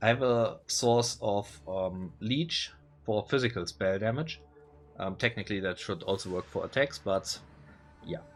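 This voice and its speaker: A man's fairly low voice with a non-native accent, music playing in the background. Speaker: gaming content creator. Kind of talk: casual gameplay commentary. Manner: hesitant, many filler words.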